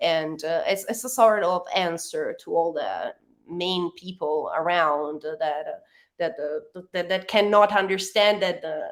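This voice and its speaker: Speaking in an Italian accent, a woman uses a medium pitch with ordinary pitch variation. Her pace is fairly slow. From Italy. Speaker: rock band member. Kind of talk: interview. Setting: radio interview, late at night for guest. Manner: halting, many fillers and restarts.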